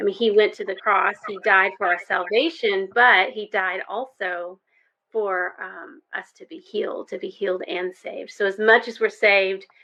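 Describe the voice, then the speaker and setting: With an Arkansas accent, a woman talks at a moderate pace and medium pitch, with ordinary pitch variation and big swings in loudness. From US South, Arkansas. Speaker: health coach and ministry leader. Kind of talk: podcast interview. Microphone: echo on call.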